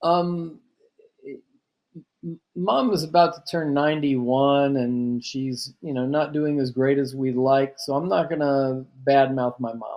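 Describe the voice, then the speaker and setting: With a Texan accent, a man speaks fairly slowly in a fairly high pitch and fairly even intonation. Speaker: chef and registered dietitian. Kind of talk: interview. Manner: halting, repeats words.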